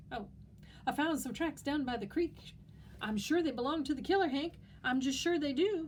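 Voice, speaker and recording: A squeaky, put-on character voice with long, frequent pauses and clear background noise. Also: woman, high pitch for a woman, moderate pace. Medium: read story. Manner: excitable, eager.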